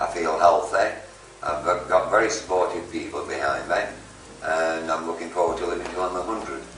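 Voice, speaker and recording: A man with a Yorkshire accent at a fairly quick pace, with audible room echo and noticeable background noise. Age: 60s. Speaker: private tutor, stop-smoking service client. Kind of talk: testimony.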